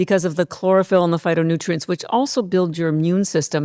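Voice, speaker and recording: A woman speaks at a very fast pace on a very clean recording with a silent background. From Canada. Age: 60s. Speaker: company founder. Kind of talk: podcast interview.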